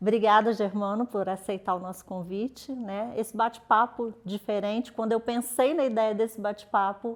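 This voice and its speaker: A woman's fairly high voice in a Rio de Janeiro accent, at a moderate pace with fairly even intonation and hardly any pauses. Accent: carioca accent, noticeable. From Rio de Janeiro, Brazil; later Minas Gerais. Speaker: journalist and editor. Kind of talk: interview. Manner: relaxed.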